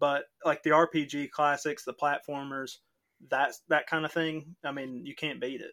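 A man's fairly high voice with fairly even intonation and a bright, sharp tone, dry and close with no echo, on a very clean recording over a silent background. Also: fairly slow pace. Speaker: podcast host. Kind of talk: casual chat.

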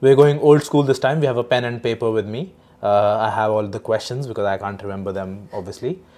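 Against a quiet background, a dark, mellow voice moves at a very fast pace with ordinary pitch variation. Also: man, medium pitch for a man. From India (Delhi). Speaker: podcast host. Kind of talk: casual interview.

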